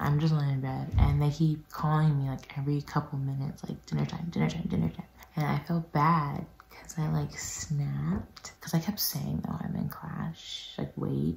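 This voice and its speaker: Whispering, a woman keeps to a moderate pace. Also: hardly any pauses. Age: young. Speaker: peer health educator. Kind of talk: casual talk to camera. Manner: whispered. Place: home room. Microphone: phone near.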